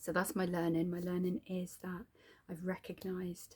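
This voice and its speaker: A dark, mellow, somewhat breathy voice with a British accent moves at a moderate pace. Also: woman. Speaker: video diary vlogger. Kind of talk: personal video journal. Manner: halting, with fillers.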